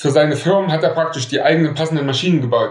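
A man at a fairly quick pace, ordinary pitch variation, audible room echo. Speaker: metalworker. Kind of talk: storytelling interview.

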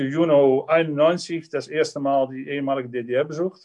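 A man with a Dutch accent, fairly high in pitch, at a very slow pace with ordinary pitch variation. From Netherlands. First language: Dutch (speaking German). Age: 60s. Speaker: dairy farmer and politician. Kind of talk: personal life story.

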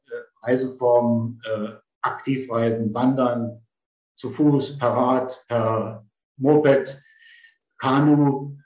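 At a very slow pace, a man speaks with a medium pitch and fairly even intonation. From eastern Germany (Potsdam). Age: 70s. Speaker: retired travel executive. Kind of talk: personal storytelling.

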